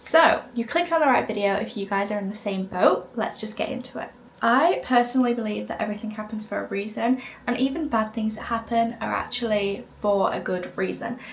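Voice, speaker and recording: With a British accent, a woman talks at a fairly quick pace in a fairly high voice with ordinary pitch variation, amid noticeable background noise. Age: 20s. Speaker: lifestyle content creator. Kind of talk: casual vlog talk to camera. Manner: animated.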